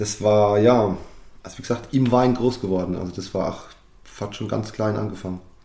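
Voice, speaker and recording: The man's voice is fairly low, with a dark, mellow tone and fairly even intonation. His loudness swings widely. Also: moderate pace. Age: 30s. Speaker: winemaker. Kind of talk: interview.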